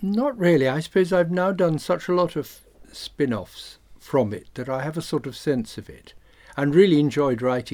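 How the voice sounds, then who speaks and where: A man's plain, everyday voice, fairly high in pitch, with lively intonation, big swings in loudness and a moderate pace. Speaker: actor and writer. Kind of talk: interview. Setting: recording studio.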